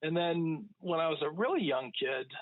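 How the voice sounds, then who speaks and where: This man's fairly high voice unfolds at a fairly slow pace. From northern Vermont, US. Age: 60s. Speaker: writer and firearms YouTuber, podcast guest. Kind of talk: casual interview chat. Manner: hesitant, many fillers and repetitions.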